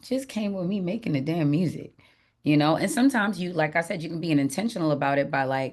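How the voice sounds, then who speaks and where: A woman is speaking against a quiet background. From Jamaica. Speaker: singer-songwriter. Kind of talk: interview. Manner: casual, animated.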